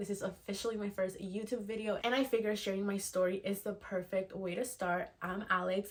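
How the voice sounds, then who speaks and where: A woman's medium-pitched voice with fairly even intonation, against noticeable background noise. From Venezuela. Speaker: virtual assistant and mentor. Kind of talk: personal story vlog.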